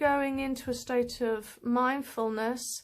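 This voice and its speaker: On a very clean recording with a silent background, a woman with a high voice speaks very slowly with fairly even intonation. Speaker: spiritual teacher. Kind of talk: tutorial. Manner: halting.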